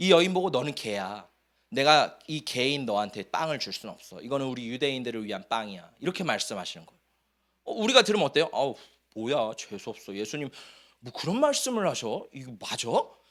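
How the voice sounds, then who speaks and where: A man's animated, medium-pitched voice at a fairly quick pace, with very wide pitch swings and big swings in loudness, in a very clean recording with a silent background. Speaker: pastor. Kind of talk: sermon. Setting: church.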